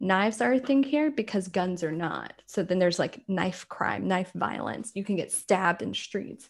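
With an American accent, a woman speaks at medium pitch and a moderate pace, showing vocal fry and lively intonation with hardly any pauses. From rural South Carolina, US South. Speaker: American expat. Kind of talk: casual chat.

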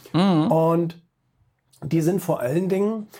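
A man's dark, mellow voice at a very slow pace. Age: 30s. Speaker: magazine publisher and author. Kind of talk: interview.

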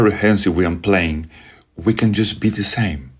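A man with a Spanish accent and a fairly low pitch. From Venezuela. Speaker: orchestra conductor. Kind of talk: interview.

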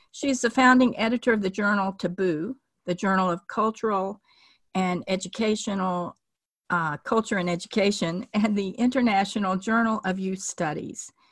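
A somewhat breathy voice at a fairly quick pace, dry and close with no echo, on a very clean recording with a silent background. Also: woman. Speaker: podcast host. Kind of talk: interview.

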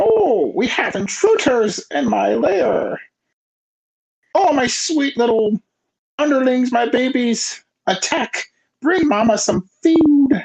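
A man puts on a character voice at an extremely high pitch. He talks fairly slowly, with long, frequent pauses. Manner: menacing, gloating.

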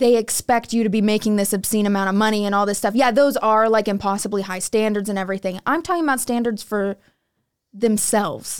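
A normal speaking voice moves at a fairly quick pace in a very clean recording with a silent background. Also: woman. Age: 20s. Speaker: young wife giving a woman's perspective. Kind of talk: casual podcast discussion.

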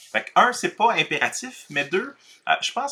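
With a Quebec accent, a man talks at a moderate pace in a bright, sharp tone with vocal fry and very wide pitch swings, on a very clean recording with a silent background. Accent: Québécois French. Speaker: pastor and author. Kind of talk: casual conversation.

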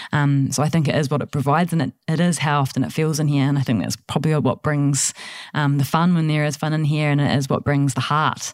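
Very fast speech from a woman with a New Zealand accent, very deep and low in pitch, monotone and flat, with very even loudness. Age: 30s. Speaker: studio manager. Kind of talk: casual chat. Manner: fast talker, highly strung.

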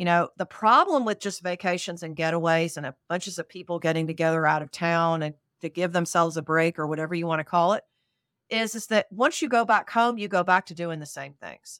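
A woman talks fairly quickly in a normal speaking voice, her pitch fairly low with ordinary pitch variation and big swings in loudness. The recording is very clean, with a silent background and a dry, close sound with no echo. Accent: American. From North Carolina. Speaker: retreat leader and coach. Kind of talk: casual interview.

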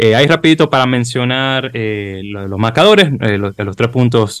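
A man speaks with ordinary pitch variation in an unremarkable speaking voice. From Dominican Republic, Santo Domingo. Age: 30s. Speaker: podcast host. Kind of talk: casual chat.

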